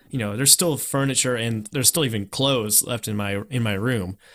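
The recording is very clean, with a silent background. It carries an ordinary speaking voice, fairly quick in pace, with ordinary pitch variation. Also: man. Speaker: podcast host. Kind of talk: casual chat.

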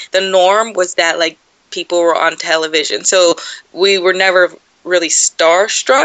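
This woman has a plain, everyday voice and an American accent, talking at a moderate pace. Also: medium pitch for a woman, fairly even intonation. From Southern California (San Dimas, San Gabriel Valley). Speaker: sports journalist and producer. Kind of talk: interview, casual chat.

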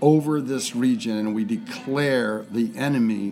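A man speaks over noticeable background noise. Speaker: church member leading prayer. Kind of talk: fervent extemporaneous prayer. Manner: fervent, impassioned, declarative.

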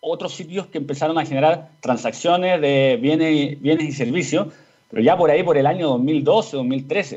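Fairly high in pitch, this man's voice shows ordinary pitch variation. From Chile. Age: 30s. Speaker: serial entrepreneur. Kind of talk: radio interview. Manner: halting, many repetitions and fillers.

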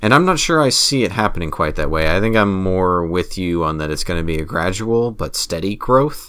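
Over noticeable background noise, a man with a very deep, low pitch talks at a fairly quick pace with lively intonation and hardly any pauses. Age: 30s. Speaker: gaming podcast co-host. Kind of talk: casual chat.

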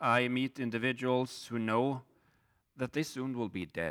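The recording is very clean, with a silent background. A man with a Swedish accent talks at a moderate pace and medium pitch. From Sweden. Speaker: pastor. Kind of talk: sermon. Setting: church.

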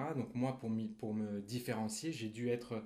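Audible room echo surrounds this voice. It belongs to a man with a medium pitch. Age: 20s. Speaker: recovering alcoholic, author. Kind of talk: testimony. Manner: halting, many repetitions.

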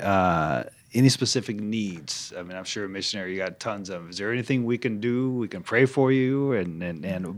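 In an ordinary speaking voice, a man talks at a moderate pace with a fairly low pitch and lively intonation. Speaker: podcast host. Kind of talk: casual interview chat.

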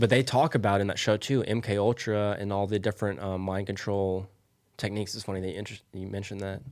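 Very fast, fairly even speech in an American accent on a very clean recording over a silent background. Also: man, fairly low pitch for a man. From Oklahoma, Tulsa area. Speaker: podcast host. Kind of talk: casual chat.

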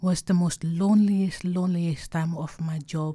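In a very clean recording with a silent background, a dark, mellow, somewhat breathy voice moves at a fairly slow pace with monotone, flat intonation. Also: woman. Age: 60s. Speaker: art curator. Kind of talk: interview storytelling. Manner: halting.

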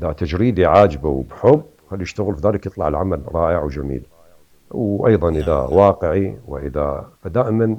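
A man with an Iraqi accent speaks at a very deep, low pitch. He keeps a moderate pace while his pitch swings very widely. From Iraq, Hilla and Baghdad. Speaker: painter. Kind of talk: interview.

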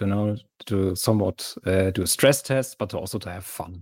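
In a German accent, a man speaks at a moderate pace with a fairly low pitch, ordinary pitch variation and a dark, mellow tone, in a very clean recording with a silent background and a dry, close sound with no echo. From Germany. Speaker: mod developer. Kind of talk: casual interview.

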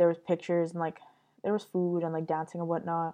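Dark and mellow in tone, a woman with a Montreal accent speaks at a fairly low pitch against a quiet background. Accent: Montreal English (Canadian). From Montreal, Quebec. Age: 20s. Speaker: podcast host. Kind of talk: casual monologue.

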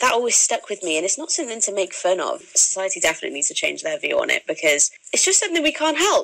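With a Welsh accent, a woman speaks at a very fast pace. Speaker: guest sharing acne story. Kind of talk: radio interview, candid personal chat. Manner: casual, frank.

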